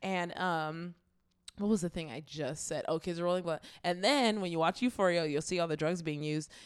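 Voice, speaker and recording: Recorded very cleanly against a silent background, a woman speaks fairly quickly in a normal speaking voice. Her pitch is fairly low, with ordinary pitch variation. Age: 20s. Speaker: podcast co-host. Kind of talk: casual chat.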